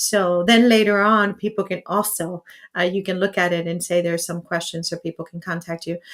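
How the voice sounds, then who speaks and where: A woman speaks in an ordinary speaking voice with fairly even intonation. Her pitch is medium and her pace moderate. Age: 50s. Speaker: podcast host. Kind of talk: live interview. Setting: live stream.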